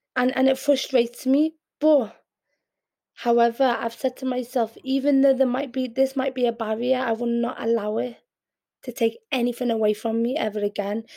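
Speaking in a Liverpool accent, a woman has a high pitch and a dark, mellow tone. Her pace is moderate and her intonation fairly even. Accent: Scouse. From Liverpool, England (born in Yemen). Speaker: poet and performance artist. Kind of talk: interview.

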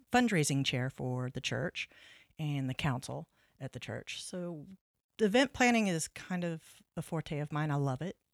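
A woman with a West Texas accent and very deep, low pitch at a moderate pace, dry and close with no echo, on a very clean recording with a silent background. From Texas (Lubbock). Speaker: nonprofit executive director. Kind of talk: casual interview.

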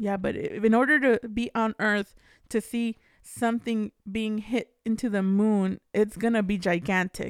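At a fairly slow pace, a woman speaks with a fairly high pitch and fairly even intonation in a dry, close recording with no echo. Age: 30s. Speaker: podcast co-host. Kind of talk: casual chat.

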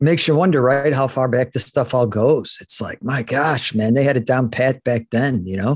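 A man with an American accent talks at a medium pitch with ordinary pitch variation and hardly any pauses against a quiet background. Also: moderate pace. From Chicago. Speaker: podcast host. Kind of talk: casual chat.

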